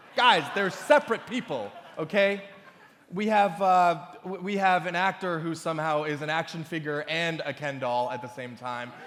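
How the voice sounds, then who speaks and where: With noticeable background noise behind him, a high-pitched man speaks in a confident tone at a moderate pace. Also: lively intonation. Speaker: awards show host. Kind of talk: stand-up style comedic opening monologue to a live audience. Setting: live gala event in front of a crowd. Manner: comedic, confident.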